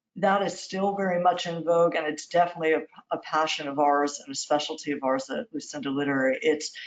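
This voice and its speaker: Speaking at a very fast pace, a woman with an American accent has a very deep, low pitch and ordinary pitch variation. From New York. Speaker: literary agent. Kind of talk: interview. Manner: warm.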